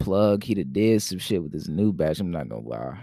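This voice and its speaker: The intonation is lively and the pace moderate. Room echo can be heard. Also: man. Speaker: podcast host. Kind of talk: casual monologue. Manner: rambling, loose.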